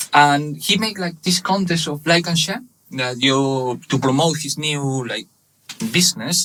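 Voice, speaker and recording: In a Spanish accent, a man speaks at a fairly slow pace. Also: fairly high pitch for a man, ordinary pitch variation. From Spain, Barcelona (Catalonia). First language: Spanish/Catalan. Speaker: webshop manager. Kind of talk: casual interview. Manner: halting, many fillers.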